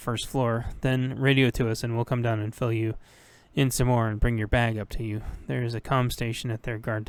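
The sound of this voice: Fairly even intonation from an unforced reading voice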